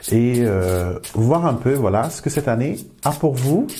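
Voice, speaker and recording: With noticeable background noise, a man at medium pitch speaks with lively intonation. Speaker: tarot card reader. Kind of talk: card reading tutorial.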